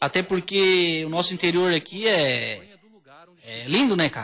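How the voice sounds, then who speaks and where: A man's voice, high in pitch. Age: 30s. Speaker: auto electrician and amateur cyclist. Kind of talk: casual radio interview.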